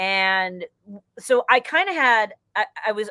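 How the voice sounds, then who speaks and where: A woman's bright, sharp tone comes through a dry, close sound with no echo on a very clean recording with a silent background. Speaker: stand-up comedian. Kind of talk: interview. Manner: fast; high energy.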